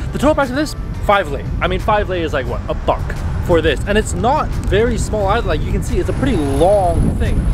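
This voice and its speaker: A man talks at a very fast pace in a dry sound with no echo while music plays in the background. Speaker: food vlogger. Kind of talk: casual vlog chat. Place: street. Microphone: phone near.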